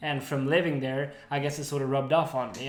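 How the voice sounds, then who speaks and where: Audible room echo carries the fairly high-pitched voice of a man. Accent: American. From Sweden. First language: Swedish. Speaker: podcast co-host. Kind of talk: casual chat.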